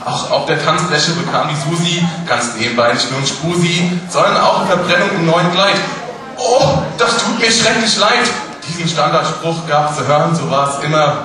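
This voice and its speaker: Lively intonation carries over noticeable background noise and strong room echo. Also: man. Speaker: carnival speech performer. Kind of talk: carnival Büttenrede, rhymed comic speech to a live audience. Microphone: podium.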